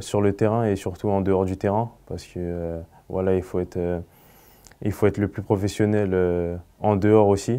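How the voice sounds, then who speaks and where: A man's fairly low, dark, mellow voice in monotone, flat intonation at a moderate pace, over a quiet background. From Paris region, France; France. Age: 20s. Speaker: professional footballer. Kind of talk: interview. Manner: halting. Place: studio.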